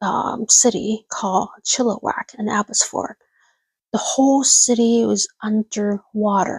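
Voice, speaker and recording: A woman with a Cantonese accent speaks in a fairly high, somewhat breathy voice with fairly even intonation, the sound dry and close with no echo. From Hong Kong. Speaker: livestreamer. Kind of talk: casual chat. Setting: livestream at home at night. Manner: whispering; halting.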